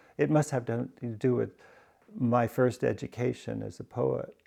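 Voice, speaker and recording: Speaking at a fairly slow pace, a man has a medium pitch and a dark, mellow tone. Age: 60s. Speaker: poet. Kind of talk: interview. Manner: halting, with many fillers.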